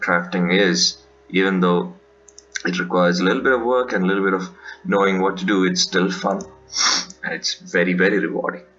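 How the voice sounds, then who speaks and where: Fairly quick speech with long, frequent pauses, fairly even intonation and noticeable background noise. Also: man, very deep, low pitch for a man. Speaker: gaming youtuber. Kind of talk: gameplay commentary.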